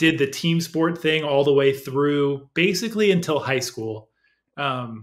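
Ordinary pitch variation from a male speaker, set against a quiet background. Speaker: remote podcast guest. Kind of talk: interview answer. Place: home room.

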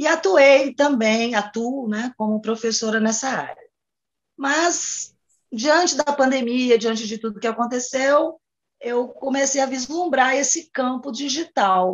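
A woman's high voice moves with ordinary pitch variation at a fairly slow pace. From Brazil. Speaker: teacher and speaking instructor; teacher, speaking instructor. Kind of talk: workshop participant explaining her project. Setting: video call. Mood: slightly insecure, candid. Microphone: video call.

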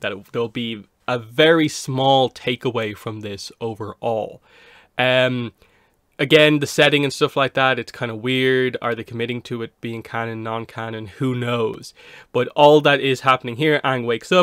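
A man talks with fairly even intonation and a moderate pace, the background quiet. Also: dry sound with no echo. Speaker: comic reviewer. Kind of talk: casual commentary. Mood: mildly exasperated. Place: home room. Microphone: studio mic.

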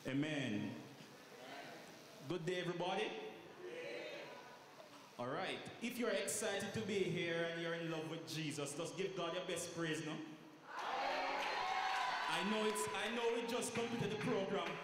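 A man at a high pitch with ordinary pitch variation, a fairly slow pace and long, frequent pauses, plus audible room echo and noticeable background noise. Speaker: church minister. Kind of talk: sermon. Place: church. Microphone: handheld.

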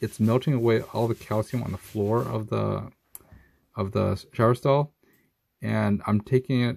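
Intonation stays fairly even as this man speaks. His pace is moderate. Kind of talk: tutorial. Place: bathroom. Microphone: phone near.

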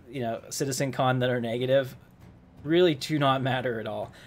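At a fairly quick pace, a man of medium pitch speaks in a normal speaking voice. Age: 30s. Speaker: gaming streamer. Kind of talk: live gameplay commentary. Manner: casual.

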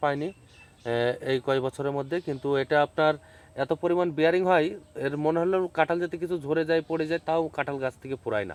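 With an unremarkable speaking voice, a man talks at a fairly high pitch and with fairly even intonation, the sound dry and close with no echo. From Bangladesh, Chuadanga district. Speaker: farmer. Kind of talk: interview. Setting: outdoors.

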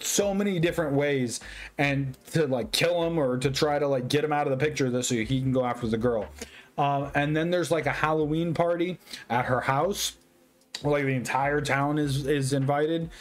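Keeping very even loudness, a man speaks at a moderate pace with fairly even intonation. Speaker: content creator. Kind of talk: casual vlog chat, story retelling. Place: home room. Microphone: webcam.

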